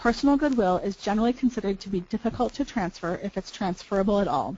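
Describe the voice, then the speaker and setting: A woman's very fast speech at a medium pitch, with ordinary pitch variation. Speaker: business valuation consultant. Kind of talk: webinar presentation. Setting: webinar.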